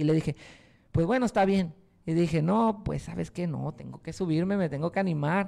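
A man speaks fairly quickly in a high pitch with a dark, mellow tone. His pitch varies in an ordinary way, and the background is quiet. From Mexico, Puerto Vallarta, Jalisco; Jalisco, Mexico. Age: 20s. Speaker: hip hop artist; guest. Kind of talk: interview. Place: studio. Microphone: handheld.

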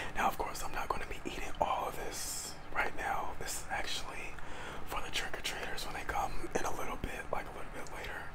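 Whispering at a fairly quick pace. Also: man. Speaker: ASMR creator. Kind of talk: ASMR eating video talk to camera. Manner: whispered. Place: home room. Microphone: lapel.

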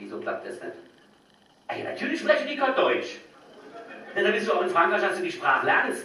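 A man with a Hessian accent, plus audible room echo. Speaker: stand-up comedian. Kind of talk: stand-up comedy routine on stage. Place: stage.

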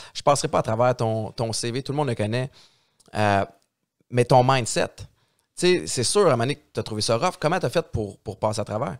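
Against a quiet background, a man with a medium-pitched voice talks at a moderate pace with lively intonation and long, frequent pauses. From Montreal-Nord, Quebec; Quebec. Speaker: podcast host, radio host, former football player; podcast host, radio host. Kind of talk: casual chat. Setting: studio. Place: studio. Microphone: studio mic.

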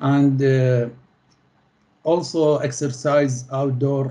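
A man with an Arabic accent speaks very slowly in a monotone, flat delivery, his tone dark and mellow and somewhat breathy. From Middle East. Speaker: postgraduate student; interviewee. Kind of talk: interview. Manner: halting. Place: home room. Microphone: video call.

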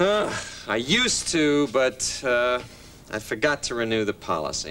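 Light background noise accompanies a man who speaks at a moderate pace with very wide pitch swings. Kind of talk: scripted sitcom dialogue. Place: kitchen.

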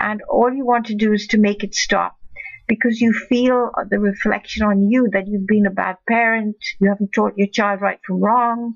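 Somewhat breathy speech comes at a moderate pace with monotone, flat intonation. The background is quiet. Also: woman. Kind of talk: advice talk to camera. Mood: calm, empathetic. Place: home room. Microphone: webcam.

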